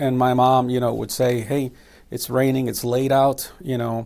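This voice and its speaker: A man with an American accent uses a normal speaking voice at medium pitch and a moderate pace. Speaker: missionary and evangelist. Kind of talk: testimony.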